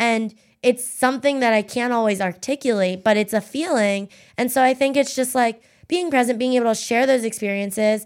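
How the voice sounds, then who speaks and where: A normal speaking voice at a fairly quick pace, with ordinary pitch variation and very even loudness, in a very clean recording with a silent background. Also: woman, fairly high pitch for a woman. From Pennsylvania, US. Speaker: political strategist and social media creative director. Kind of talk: casual interview chat.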